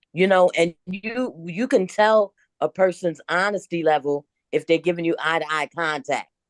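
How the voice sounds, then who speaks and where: A woman's fairly low voice, a normal speaking voice, at a moderate pace with ordinary pitch variation and a dry, close sound with no echo. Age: 60s. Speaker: podcast panelist. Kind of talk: casual chat.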